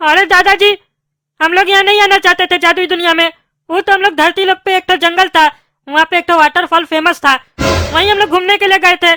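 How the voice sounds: A cartoonish character voice pitched extremely high and rattling along at a very fast pace.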